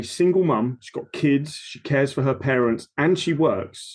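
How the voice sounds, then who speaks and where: A man with a fairly high pitch, an Essex accent and ordinary pitch variation. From Essex, England. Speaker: personal trainer. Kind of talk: casual chat. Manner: animated.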